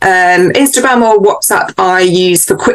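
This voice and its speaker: In a British accent, a woman talks at a medium pitch. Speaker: book editor. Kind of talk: interview. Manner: animated.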